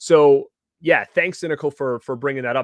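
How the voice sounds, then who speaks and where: An animated man at a fairly quick pace, in a dry, close sound with no echo and a quiet background. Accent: Rhode Island. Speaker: YouTube TV show reviewer. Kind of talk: casual live-stream review chat. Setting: live stream with chat. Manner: animated, many fillers and repeated words.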